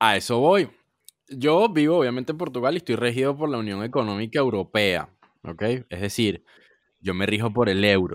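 A man with a medium pitch talks at a moderate pace with lively intonation. He leaves long, frequent pauses. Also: very clean recording, silent background. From Venezuela. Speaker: podcast co-host. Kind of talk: casual chat.

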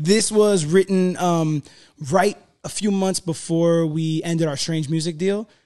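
A man with an American accent speaks at a high pitch in a dark, mellow tone. His pace is fairly slow and his intonation fairly even. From South Florida. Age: 30s. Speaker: rapper. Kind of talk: casual chat.

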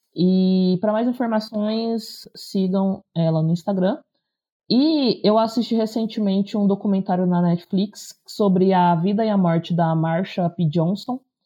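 At a fairly slow pace, a woman with a medium pitch and a somewhat breathy voice speaks with ordinary pitch variation and very even loudness. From interior of São Paulo state, Brazil. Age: 30s. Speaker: teacher and content creator. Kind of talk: casual chat.

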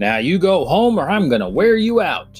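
A man puts on a character voice pitched high, speaking at a moderate pace over faint music in the background. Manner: scolding, mock-threatening.

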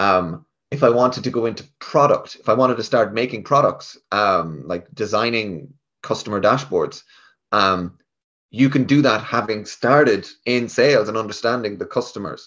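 A man with a Galway accent speaks at a moderate pace and medium pitch, with ordinary pitch variation. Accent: Galway Irish. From west of Ireland, Galway. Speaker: tech sales rep. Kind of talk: casual interview.

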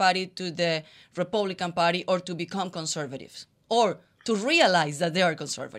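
A woman with a Spanish accent, medium pitch, ordinary pitch variation and moderate pace, in a very clean recording with a silent background. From Colombia. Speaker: co-host, former news journalist. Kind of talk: announcement; casual chat.

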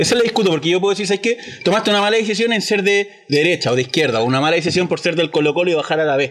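Over noticeable background noise, a man with a Chilean accent talks at a very fast pace in a high pitch, his intonation lively and his loudness very even. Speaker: podcast host; firefighter. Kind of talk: casual chat.

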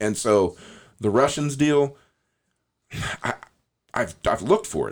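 On a very clean recording with a silent background, a man with an American accent speaks at a fairly slow pace with lively intonation. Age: 40s. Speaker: podcast host. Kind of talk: casual chat.

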